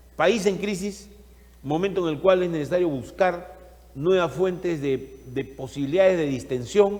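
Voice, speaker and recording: Over noticeable background noise, the speaker goes at a moderate pace with ordinary pitch variation. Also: man. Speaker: TV talk show host. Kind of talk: talk show interview; opening monologue.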